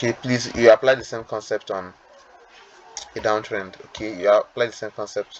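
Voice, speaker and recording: Noticeable background noise sits behind a man who speaks with fairly even intonation. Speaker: trading educator. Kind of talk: tutorial. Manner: fast; hesitant, with fillers and repetitions.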